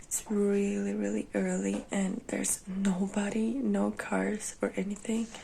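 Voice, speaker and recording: Non-native accent from a woman. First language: not English. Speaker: vlogger. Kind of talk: casual vlog chat. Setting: at home. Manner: halting.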